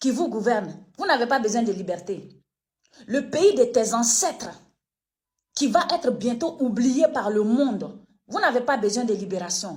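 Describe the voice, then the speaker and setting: A woman's high-pitched voice with lively intonation, a fairly slow pace and long, frequent pauses. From Côte d'Ivoire, Koulango people (northeast). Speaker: online political commentator. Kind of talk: video commentary rant. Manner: animated, emphatic.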